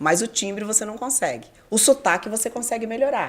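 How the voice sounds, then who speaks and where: This woman talks at a fairly high pitch. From southern Brazil, Curitiba. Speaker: TV presenter and radio host. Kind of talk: interview.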